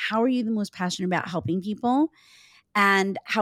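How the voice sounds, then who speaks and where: A normal speaking voice with ordinary pitch variation, in a very clean recording with a silent background and a dry, close sound with no echo. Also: woman. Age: 50s. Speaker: life and business coach. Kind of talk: casual chat.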